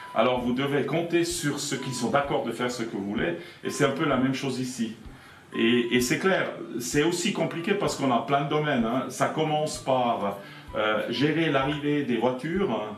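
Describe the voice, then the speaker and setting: A man at medium pitch and moderate pace, with ordinary pitch variation, audible room echo and noticeable background noise. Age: 60s. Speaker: airport director. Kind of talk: interview answering children's questions. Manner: hesitant, with repetitions.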